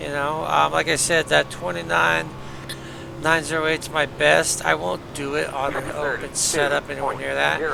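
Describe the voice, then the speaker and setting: Mumbling at a moderate pace, a man with a fairly low pitch makes very wide pitch swings over noticeable background noise. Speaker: sim racing streamer. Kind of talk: live gameplay commentary. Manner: casual, hesitant.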